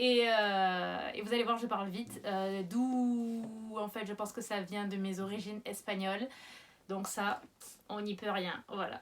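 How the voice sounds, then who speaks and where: A woman's medium-pitched voice, monotone and flat in intonation, at a fairly slow pace. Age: 30s. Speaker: YouTuber. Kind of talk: casual vlog.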